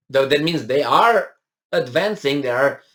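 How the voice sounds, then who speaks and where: A man with a non-native accent speaks at a moderate pace. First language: not English. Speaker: political commentator. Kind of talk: news commentary, reading and discussing an article. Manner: hesitant, many fillers and restarts.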